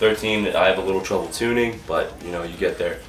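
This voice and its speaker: Music plays in the background and there is audible room echo. A man speaks at a fairly quick pace. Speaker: drummer in a metal band. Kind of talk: gear rundown tutorial. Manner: fast; casual.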